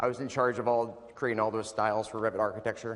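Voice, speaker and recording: A loud man talking at a very fast pace. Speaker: software application specialist presenting at user group. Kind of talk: technical presentation.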